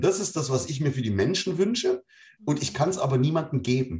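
The man's pitch swings very widely. Vocal fry runs through his voice. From East Germany. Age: 40s. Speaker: podcast guest. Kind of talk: casual chat.

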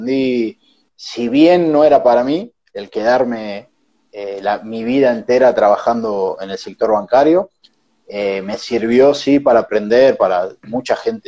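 A man with a Rioplatense accent at a fairly slow pace. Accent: Argentine Rioplatense Spanish. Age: 20s. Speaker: entrepreneur. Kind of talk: casual interview.

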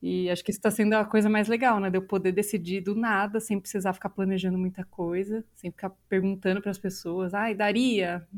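A woman with a Brazilian accent speaks in a flat monotone with hardly any pauses, in a very clean recording with a silent background. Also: medium pitch for a woman, fairly quick pace. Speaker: podcast host, journalist and voice actress. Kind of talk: casual chat.

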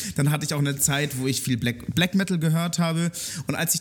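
A man talks at a very fast pace in a somewhat breathy voice. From Germany, Munich (Bavaria). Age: 20s. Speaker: music journalist and radio/podcast host. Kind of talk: casual interview chat. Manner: hesitant, many fillers and repetitions.

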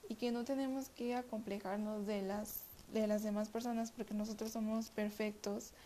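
The speech comes at a moderate pace in a monotone, flat intonation. Noticeable background noise can be heard. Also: woman. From Mexico City. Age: 20s. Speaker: podcast host. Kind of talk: self-help monologue. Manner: halting, many repetitions.

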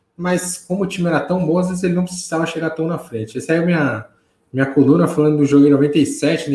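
A man uses a normal speaking voice, talking fairly quickly with ordinary pitch variation. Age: 30s. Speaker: football commentator. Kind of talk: casual chat.

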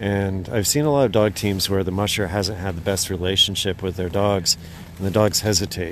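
A man with an ordinary speaking voice talks at a fairly quick pace. His pitch is fairly low, and his intonation is fairly even. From Idaho. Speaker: dog musher and tour guide. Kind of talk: interview.

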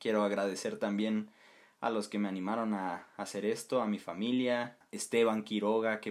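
A man with an unremarkable speaking voice, fairly low in pitch, fairly slow and fairly even in intonation, in a very clean recording with a silent background. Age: 20s. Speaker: podcast host, university student. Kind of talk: solo podcast monologue.

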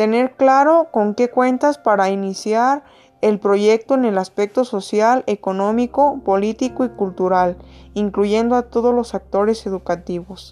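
A woman speaks at a fairly slow pace in a fairly high voice with a dark, mellow tone, ordinary pitch variation and very even loudness. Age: 20s. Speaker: graduate student. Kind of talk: class presentation. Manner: formal.

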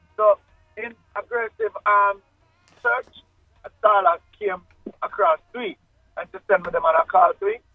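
Over music in the background, a man with a high voice speaks at a moderate pace with long, frequent pauses, ordinary pitch variation and big swings in loudness. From Jamaica, Kingston. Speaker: reggae singer. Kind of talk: interview.

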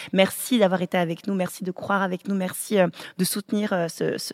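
A woman's plain, everyday voice at medium pitch and moderate pace, with fairly even intonation, in a dry, close sound with no echo and a very clean recording, silent background. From African family, French-speaking. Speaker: podcast host, pastor's family. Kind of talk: casual chat.

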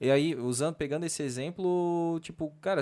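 At a moderate pace, a man with an unremarkable speaking voice speaks at a fairly high pitch and fairly even intonation, on a very clean recording with a silent background. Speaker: podcast host. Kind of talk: casual chat. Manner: casual.

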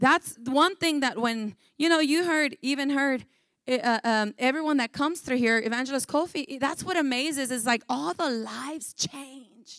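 Speaking at a moderate pace in a high-pitched, animated voice, a woman sounds dry and close with no echo on a very clean recording with a silent background. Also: ordinary pitch variation. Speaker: pastor. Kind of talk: sermon. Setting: church. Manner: animated, fervent preaching with call-and-response; switches between English and Spanish.

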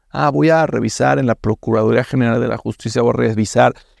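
The sound is dry and close with no echo as a man talks fairly quickly at a medium pitch, with vocal fry. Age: 30s. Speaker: fintech CEO. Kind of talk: interview. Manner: hesitant, with fillers.

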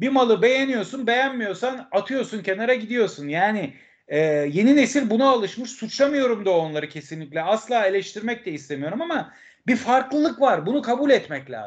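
In a quiet setting, a man with a high voice talks at a moderate pace, his pitch swinging very widely. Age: 50s. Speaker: football fan commentator and author. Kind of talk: casual interview.

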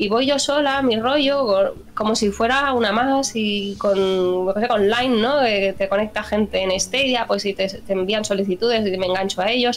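With a normal speaking voice at a fairly high pitch, a woman talks at a moderate pace with ordinary pitch variation and hardly any pauses. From Spain, Barcelona. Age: 30s. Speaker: gaming channel contributor. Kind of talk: casual interview.

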